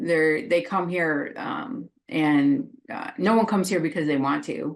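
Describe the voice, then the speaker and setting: In a normal speaking voice, a woman talks at a moderate pace with a fairly low pitch against a quiet background. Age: 50s. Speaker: social worker. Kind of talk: casual interview chat.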